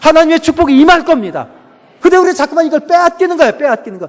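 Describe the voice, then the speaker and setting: A man speaks with a Chungcheong accent. His pitch is extremely high, with ordinary variation. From Chungcheong, South Korea. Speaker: pastor and professor. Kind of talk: sermon. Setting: church. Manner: animated.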